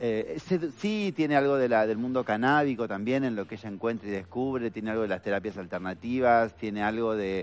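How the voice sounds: A man with a fairly low pitch talks at a fairly quick pace with few pauses. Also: ordinary pitch variation.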